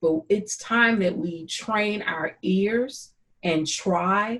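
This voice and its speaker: Somewhat breathy, a woman speaks with a St. Louis accent. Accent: Saint Louis. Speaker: YouTube host interviewing a friend. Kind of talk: casual conversation. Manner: sing-song.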